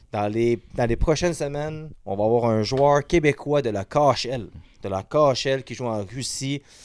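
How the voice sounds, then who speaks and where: A man at medium pitch and a fairly slow pace with a Quebec accent and ordinary pitch variation, on a very clean recording with a silent background. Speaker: podcast host. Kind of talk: casual chat. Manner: stutters.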